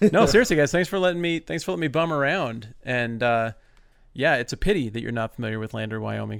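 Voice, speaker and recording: A man's medium-pitched, lively intoned voice, a normal speaking voice, in a very clean recording with a silent background. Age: 40s. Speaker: podcast guest, bible teacher. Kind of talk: casual chat.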